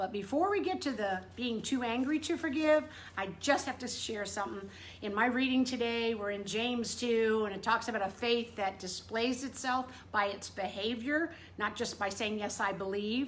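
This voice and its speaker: An animated woman talks at a moderate pace, her fairly high voice showing ordinary pitch variation. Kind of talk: casual devotional talk to camera. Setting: indoors in front room. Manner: loud.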